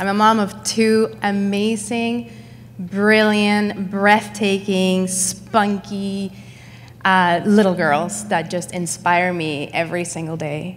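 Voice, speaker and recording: Very slowly, a woman with a Spanish accent speaks at a medium pitch with lively intonation. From Mexico. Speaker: entrepreneur. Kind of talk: panel discussion.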